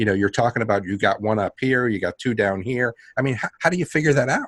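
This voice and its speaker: A man with a New York accent talks at a very fast pace, medium in pitch with ordinary pitch variation. The sound is dry and close, with no echo. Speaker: podcast host. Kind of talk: casual chat.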